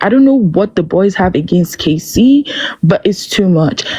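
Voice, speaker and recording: The delivery is animated with ordinary pitch variation and a moderate pace. Noticeable background noise runs throughout. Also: woman. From Nigeria. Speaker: reality TV discussion panelist. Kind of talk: casual opinion commentary.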